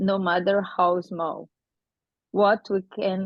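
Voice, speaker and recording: A woman talks at a medium pitch in a non-native accent. Her intonation is monotone and flat. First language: not English. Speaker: conference presenter. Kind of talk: conference presentation.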